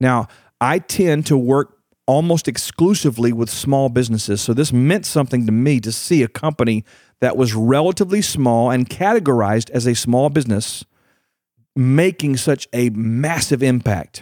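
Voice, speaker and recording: A man with a Texas accent speaks at a medium pitch and a moderate pace, his tone animated and his pitch varying in an ordinary way, on a very clean, dry, close recording with a silent background and no echo. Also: very even loudness. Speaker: podcast host and leadership coach. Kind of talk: motivational solo podcast talk.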